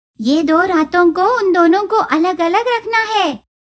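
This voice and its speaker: This is a cartoonish character voice that sounds female. The pitch is extremely high for a woman. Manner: brash, cheeky.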